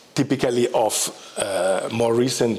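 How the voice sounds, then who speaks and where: A man talks at a fairly slow pace against noticeable background noise. He holds a medium pitch and varies it in an ordinary way. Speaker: professor of Tibetan studies. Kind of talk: lecture. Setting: lecture hall with audience. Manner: halting, many fillers.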